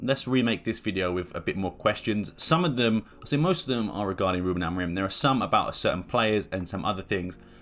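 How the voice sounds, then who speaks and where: A man with an English accent and fairly low pitch talks at a very fast pace with lively intonation and hardly any pauses. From England. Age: 20s. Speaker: football YouTuber. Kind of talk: casual Q&A video monologue. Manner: casual, with fillers and repetitions.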